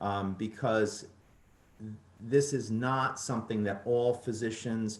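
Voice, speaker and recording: Audible room echo surrounds a man whose medium-pitched voice moves at a fairly slow pace with fairly even intonation. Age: 60s. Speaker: ENT physician. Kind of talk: lecture. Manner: halting, with many fillers and repeated words.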